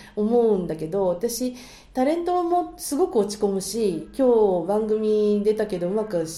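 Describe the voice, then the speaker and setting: A woman's fairly high voice with very wide pitch swings at a moderate pace, amid noticeable background noise and audible room echo. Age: 50s. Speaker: marriage agency matchmaker. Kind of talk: casual chat. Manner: animated.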